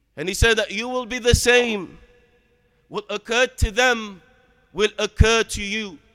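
A man's raised, projected voice, dry and close with no echo. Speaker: preacher. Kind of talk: Friday sermon (khutbah) opening with Arabic formula, then solemn exhortation on death. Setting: mosque. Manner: earnest, admonishing, steady preaching cadence; formal, measured, with Arabic phrases.

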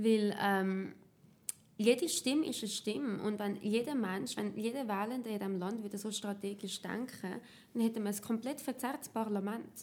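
An ordinary speaking voice at a moderate pace. The pitch varies in an ordinary way. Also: woman, fairly high pitch for a woman. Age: 20s. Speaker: party youth activist. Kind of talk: tutorial.

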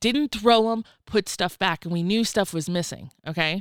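A woman's medium-pitched, animated voice with a Southern US accent and lively intonation, in a dry, close sound on a very clean recording with a silent background. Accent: Southern US (Georgia). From US South, rural Georgia. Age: 30s. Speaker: technology salesperson. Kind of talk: casual chat.

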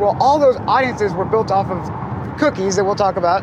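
Noticeable background noise runs under a man's speech. He has a high pitch and an American accent. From Ohio, US Midwest. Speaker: automotive marketing entrepreneur. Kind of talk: casual interview. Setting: in a convertible car. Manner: animated.

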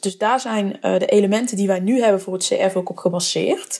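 A woman's unremarkable speaking voice, medium in pitch, with ordinary pitch variation. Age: 20s. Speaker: brand marketer and podcast host. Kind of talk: solo podcast monologue. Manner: casual with many filler words.

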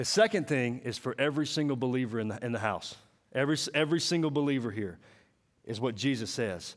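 The speaker has a Southern US accent, and the recording is very clean with a silent background. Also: man. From Mississippi. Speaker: preacher. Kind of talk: sermon. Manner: animated.

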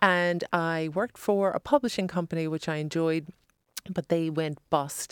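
A woman with an unremarkable speaking voice talks at a moderate pace and a fairly low pitch, with fairly even intonation. The sound is dry and close, with no echo. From born Long Island, New York; raised in Ireland from age twelve. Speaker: fashion stylist and author. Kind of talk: interview. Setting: studio.

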